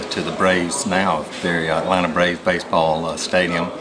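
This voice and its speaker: Over noticeable background noise and audible room echo, a man speaks in a very deep, low pitch with monotone, flat intonation. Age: 60s. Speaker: business executive. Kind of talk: promotional testimony. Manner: halting, many fillers.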